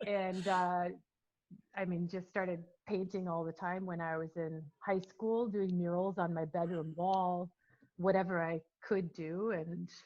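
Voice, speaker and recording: In an American accent, a woman speaks at a fairly slow pace and fairly low pitch, her intonation monotone and flat. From Minnesota, US (early childhood in England). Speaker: painter. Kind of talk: interview.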